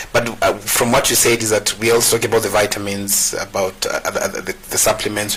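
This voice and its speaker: Over noticeable background noise, a man talks at a fairly quick pace in a fairly low, monotone, flat voice. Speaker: farming show host. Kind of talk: talk show interview.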